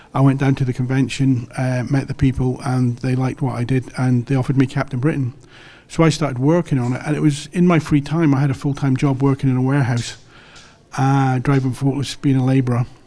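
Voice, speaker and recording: In an English accent, a man talks at a very fast pace with monotone, flat intonation. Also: medium pitch for a man. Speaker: comic book artist. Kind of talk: interview. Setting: comic convention.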